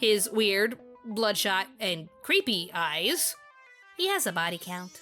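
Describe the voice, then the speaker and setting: Background music under a woman's very slow speech. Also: medium pitch for a woman, ordinary pitch variation. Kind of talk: anime review narration to camera.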